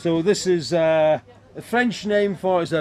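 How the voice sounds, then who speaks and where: A man talks at a fairly slow pace in a fairly high pitch. His pitch varies in an ordinary way, and there is noticeable background noise. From Scotland. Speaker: hurdy-gurdy player at a historical festival. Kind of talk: casual interview explaining an instrument.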